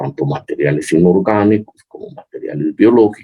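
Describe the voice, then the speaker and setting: Somewhat breathy and dark, mellow in tone, a man talks at a fairly slow pace with very wide pitch swings. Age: 70s. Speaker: chemical engineering professor. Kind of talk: interview. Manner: halting, many fillers.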